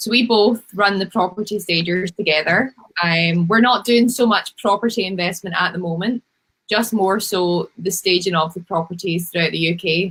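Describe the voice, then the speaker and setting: With a Scottish accent, a woman talks with ordinary pitch variation. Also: medium pitch for a woman, moderate pace. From Scotland, Glasgow. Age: 20s. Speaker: home stager, business owner. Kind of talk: interview.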